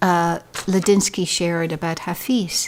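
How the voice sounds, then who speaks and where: Music plays in the background. A woman speaks in an Irish accent. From Ireland. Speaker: poet. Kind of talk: casual talk to camera.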